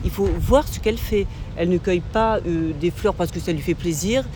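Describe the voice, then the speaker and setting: Noticeable background noise is present throughout. The talking keeps a moderate pace. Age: 60s. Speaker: passerby in street interview. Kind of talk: street interview. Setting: outdoors. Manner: halting.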